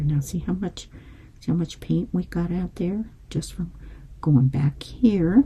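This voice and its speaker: A woman's fairly low voice with vocal fry, a dark, mellow tone, lively intonation and a fairly slow pace. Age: 70s. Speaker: painting instructor. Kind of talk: tutorial. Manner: casual and chatty.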